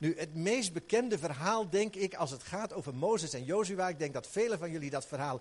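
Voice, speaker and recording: A man with a high voice speaks at a moderate pace, his tone animated and his intonation lively. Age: 60s. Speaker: pastor. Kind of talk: sermon. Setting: church.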